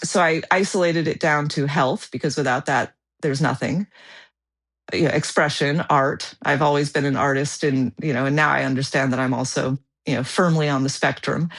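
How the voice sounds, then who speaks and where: A woman talks at a fairly quick pace in a very deep, low voice with fairly even intonation. The background is quiet. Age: 40s. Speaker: world traveler and photographer. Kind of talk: podcast interview. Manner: halting with fillers and repeats.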